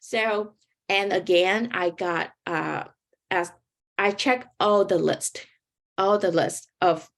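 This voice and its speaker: In a very clean recording with a silent background, a woman speaks at a medium pitch with a Vietnamese accent and fairly even intonation. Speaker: graduate student, panelist. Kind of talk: panel talk, personal story. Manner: informal, halting.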